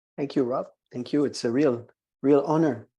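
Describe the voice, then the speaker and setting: Against a quiet background, a man with a French accent speaks in a fairly high pitch with a dark, mellow tone. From Quebec, Montreal. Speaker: wine educator. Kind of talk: webinar lecture. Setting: live online webinar. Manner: halting, many fillers.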